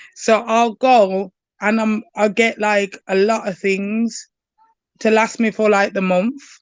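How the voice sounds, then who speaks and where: A strong Birmingham accent at a fairly slow pace, fairly even intonation and a dry, close sound with no echo. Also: woman. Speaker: university student. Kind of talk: casual chat. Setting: live stream.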